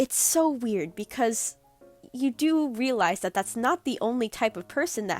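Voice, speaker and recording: Music plays in the background as a woman speaks. Her pitch swings very widely. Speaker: digital artist. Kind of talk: casual rant to camera.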